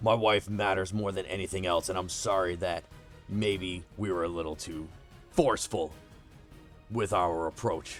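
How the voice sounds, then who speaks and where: Using a put-on character voice, a man speaks at a moderate pace in a very deep, low pitch while music plays clearly in the background. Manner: forceful, threatening.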